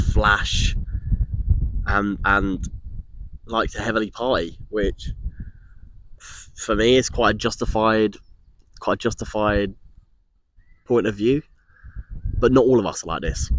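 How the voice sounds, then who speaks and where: Over a silent background in a very clean recording, a man with an Essex accent and a fairly low pitch talks at a fairly slow pace with long, frequent pauses, fairly even intonation and big swings in loudness. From Essex, England. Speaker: vlogger. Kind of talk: personal vlog monologue. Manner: hesitant, with frequent repetitions.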